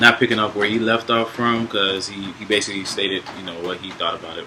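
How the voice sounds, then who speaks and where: The voice belongs to a man. Behind him, background noise is noticeable. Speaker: podcast co-host. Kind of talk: casual talk on spirituality. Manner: loud.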